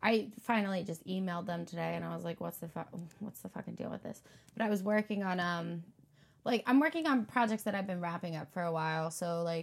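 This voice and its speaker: Speaking at a very fast pace, a woman uses a medium-pitched, somewhat breathy voice with ordinary pitch variation. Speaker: podcast host. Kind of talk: casual chat.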